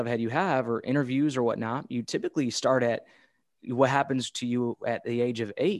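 A man speaks at a moderate pace in a medium-pitched voice with ordinary pitch variation. The sound is dry and close, with no echo. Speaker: podcast host. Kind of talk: interview. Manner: animated.

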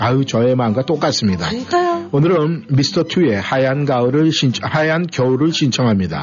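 Over noticeable background noise, a man with fairly high pitch talks at a moderate pace with lively intonation, very even loudness and hardly any pauses. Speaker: radio host. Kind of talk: live radio show chat. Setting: radio studio.

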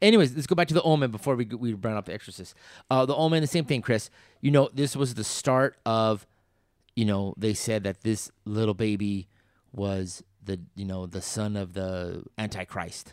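In a very clean recording with a silent background, a man with a normal speaking voice talks at a moderate pace, his fairly low pitch rising and falling with lively intonation. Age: 50s. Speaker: podcast host. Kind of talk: casual chat.

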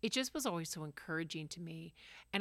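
On a very clean recording with a silent background, a woman with an ordinary speaking voice talks in a fairly low pitch with lively intonation. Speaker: podcast co-host. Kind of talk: casual chat.

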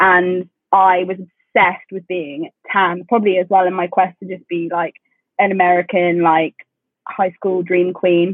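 With a southern English accent, a woman talks in a flat, monotone intonation while her loudness swings widely. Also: medium pitch for a woman, moderate pace. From England, London commuter area. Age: 20s. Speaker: podcast co-host. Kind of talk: casual chat. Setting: video call.

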